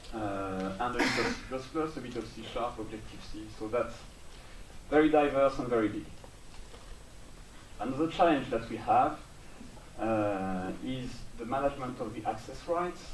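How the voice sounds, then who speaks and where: A man with a French accent speaks at a moderate pace and medium pitch with ordinary pitch variation and long, frequent pauses. The recording carries audible room echo and noticeable background noise. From France. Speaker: software build engineer. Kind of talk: conference talk. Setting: stage with audience. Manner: hesitant, many fillers.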